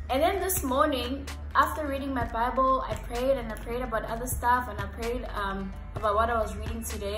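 The woman talks rather quickly. Music can be heard clearly behind her. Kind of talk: casual vlog chat about Bible study. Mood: warm, earnest. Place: home room.

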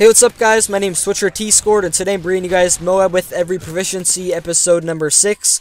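Over noticeable background noise, a man with an American accent rattles along at a very fast pace with hardly any pauses, his high voice monotone and flat in a dry, close sound with no echo. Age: young. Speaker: gaming YouTuber. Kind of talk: casual vlog commentary.

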